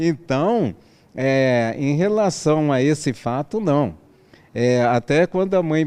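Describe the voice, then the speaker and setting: This man has a fairly high pitch and a dark, mellow tone. His intonation is lively. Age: 60s. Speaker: interview guest sharing adoption story. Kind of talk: interview.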